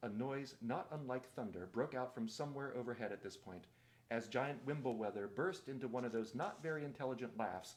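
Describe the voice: The reading aloud is plain, with pitch that varies in an ordinary way.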